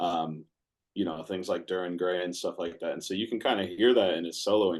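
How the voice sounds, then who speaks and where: Very deep and low, a man's voice runs at a fairly quick pace with fairly even intonation. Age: 40s. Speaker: metal band frontman. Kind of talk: interview. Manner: relaxed.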